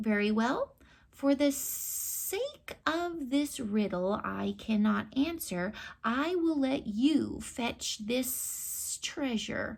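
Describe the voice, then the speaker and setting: A woman uses a put-on character voice pitched high. She speaks at a very slow pace with lively intonation. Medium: read story. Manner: grumbling, menacing.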